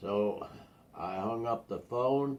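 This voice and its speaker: A man talks with lively intonation. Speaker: grandfather telling family stories. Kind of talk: casual storytelling. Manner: halting.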